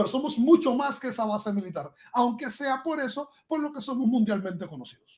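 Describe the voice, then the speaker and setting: Extremely high in pitch, this man's voice has lively intonation. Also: fairly quick pace. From Guantánamo, eastern Cuba. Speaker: podcast guest, computer scientist. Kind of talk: podcast conversation.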